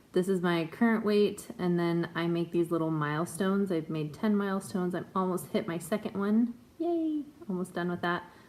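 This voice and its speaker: A woman speaks in an ordinary speaking voice at a moderate pace, with ordinary pitch variation. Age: 20s. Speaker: vlogger sharing weight loss surgery journey. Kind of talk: casual vlog update. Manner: casual with many filler ums.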